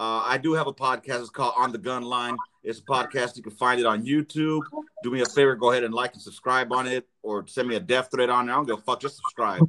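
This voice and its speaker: Talking at a very fast pace with a Los Angeles accent, a man has a medium pitch, a bright, sharp tone and fairly even intonation. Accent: Los Angeles American English. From South Central Los Angeles. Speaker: podcaster, guest. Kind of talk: casual chat.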